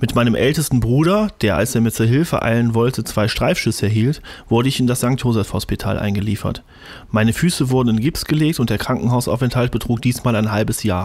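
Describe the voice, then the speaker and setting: A man talks at a fairly quick pace with very even loudness and ordinary pitch variation. The sound is dry with no echo, over a quiet background. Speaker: amateur audiobook narrator. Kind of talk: audiobook reading. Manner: fast, mumbling. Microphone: studio mic.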